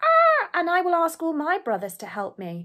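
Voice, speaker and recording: Using a put-on character voice, a woman squeaks out her words at an extremely high pitch and a moderate pace. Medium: read story. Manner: hesitant "ah" interjections.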